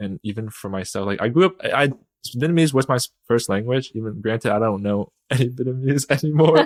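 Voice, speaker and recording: An ordinary speaking voice with an American accent talks at a fairly quick pace, with ordinary pitch variation. The sound is dry and close with no echo. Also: man, medium pitch for a man. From US, northern Virginia (Chantilly/Centreville area). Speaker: podcast guest. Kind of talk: casual chat.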